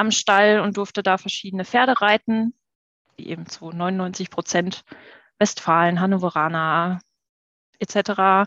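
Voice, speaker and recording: A woman speaks in a normal speaking voice at a medium pitch and a fairly slow pace, with ordinary pitch variation. The sound is dry and close with no echo, and the background is quiet. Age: 30s. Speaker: horse rider, podcast guest. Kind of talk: casual chat. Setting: video call.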